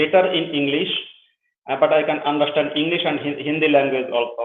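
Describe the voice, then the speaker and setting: A man's fairly high voice is heard with audible room echo. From Bangladesh. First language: Bengali. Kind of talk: interview. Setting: live show. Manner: halting.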